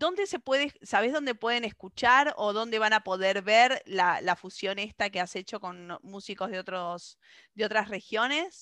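A woman in an Argentine accent with a bright, sharp tone, lively intonation and a fairly slow pace, in a dry, close sound with no echo over a quiet background. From Argentina. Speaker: radio host. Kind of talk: radio interview.

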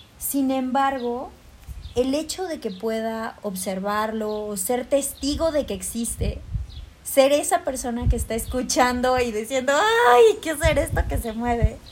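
At a fairly slow pace, a woman speaks in a high pitch. Her pitch variation is ordinary. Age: 20s. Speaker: university student and yoga teacher. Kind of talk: casual chat.

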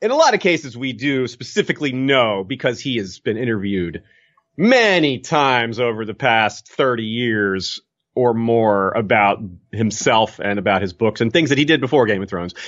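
Here is a man with an unremarkable speaking voice at a medium pitch. He keeps a moderate pace and ordinary pitch variation. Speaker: podcaster. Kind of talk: casual chat.

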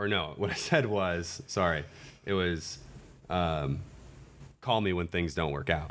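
This man has a very deep, low voice and an American accent. He talks fairly slowly with long, frequent pauses and ordinary pitch variation, and room echo is audible. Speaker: dating podcast guest sharing his relationship story. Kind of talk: casual chat.

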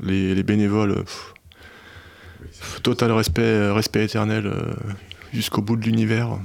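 At a fairly slow pace, a man speaks with a fairly low pitch and monotone, flat intonation. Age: 40s. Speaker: firefighter and amateur ultra cyclist. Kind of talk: casual chat. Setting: studio.

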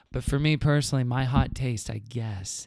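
Speaking at a moderate pace, a man with an American accent has a medium pitch, ordinary pitch variation and a somewhat breathy quality. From Houston, Texas. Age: 30s. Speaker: podcast guest. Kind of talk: casual chat.

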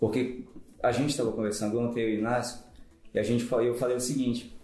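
A man at a medium pitch, with music in the background and audible room echo. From Manaus, Brazil. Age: 40s. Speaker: fitness program participant. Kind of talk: casual chat. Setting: office.

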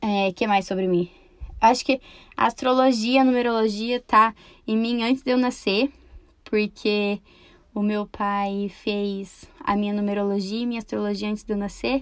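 At a moderate pace, a woman speaks with a fairly high pitch and fairly even intonation over a quiet background. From Brazil, Campo Mourão, Paraná. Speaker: podcaster. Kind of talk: casual monologue.

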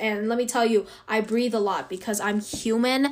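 Here a woman is speaking. Her pace is moderate. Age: young. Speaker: student podcaster. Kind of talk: casual monologue. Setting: bedroom. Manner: animated.

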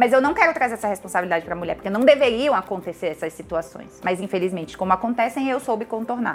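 At a very fast pace with hardly any pauses, the speaker uses an animated tone and lively intonation over noticeable background noise. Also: woman, fairly high pitch for a woman. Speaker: chemical engineer and visual artist. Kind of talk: casual interview chat.

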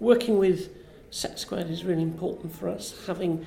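A woman's fairly low, dark, mellow voice with vocal fry, lively intonation and a fairly quick pace, in audible room echo. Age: 50s. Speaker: science park director. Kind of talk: interview. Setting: festival event.

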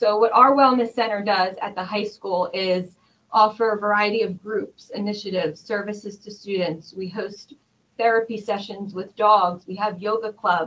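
An unremarkable speaking voice at a moderate pace with fairly even intonation. Its loudness swings widely. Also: woman, medium pitch for a woman. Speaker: school district student services director. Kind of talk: interview conversation.

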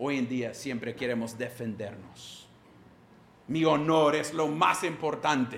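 A man with a non-native accent, very slow pace and ordinary pitch variation, plus audible room echo. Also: medium pitch for a man. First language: English (speaking Spanish). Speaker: pastor. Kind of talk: sermon.

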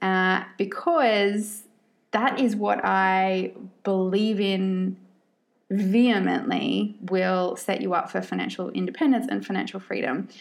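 A woman with an Australian accent at a very slow pace. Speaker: podcast host and money coach. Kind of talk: casual monologue. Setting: solo podcast recording.

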